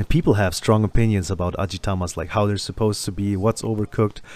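Fairly low-pitched and fairly even in intonation, a man with a German accent speaks at a fairly quick pace in a very clean recording with a silent background. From Germany. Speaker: podcast host. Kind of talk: casual interview chat.

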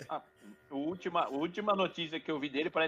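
The man's high voice moves at a very fast pace. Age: 30s. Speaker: podcast co-host. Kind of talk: casual chat.

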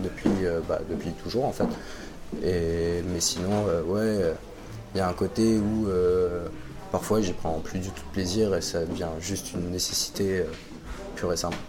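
A man's very deep, low voice at a fairly slow pace, with audible room echo and noticeable background noise. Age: 20s. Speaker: web project manager and amateur DJ. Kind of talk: testimony. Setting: café.

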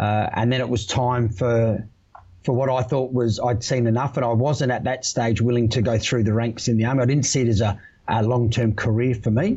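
A somewhat breathy voice with an Australian accent, at a fairly quick pace, with fairly even intonation and very even loudness. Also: man. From Australia, Adelaide. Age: 40s. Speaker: electrical industry manager, former electrician and army veteran. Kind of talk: podcast interview.

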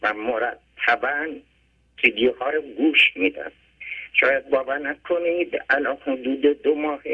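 The pace is fairly slow and the intonation stays fairly even. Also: man. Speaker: caller. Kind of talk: phone-in testimony. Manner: plain simple speech.

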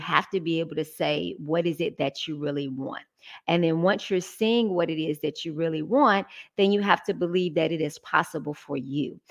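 With an Atlanta accent, a woman speaks at a moderate pace and a fairly low pitch, with ordinary pitch variation and a quiet background. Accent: Southern US (Atlanta). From Atlanta, Georgia. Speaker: business strategist. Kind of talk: interview.

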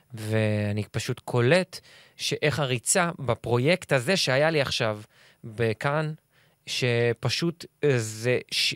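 A man of medium pitch speaks with ordinary pitch variation, recorded very cleanly against a silent background with a dry, close sound and no echo. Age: 30s. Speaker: actor. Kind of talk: casual chat.

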